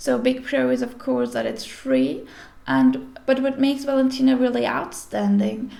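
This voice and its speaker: The woman talks at a fairly slow pace. She has a non-native accent. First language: not English. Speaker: sewing pattern tutorial maker. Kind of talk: tutorial. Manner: careful, deliberate pace; hesitant, with fillers.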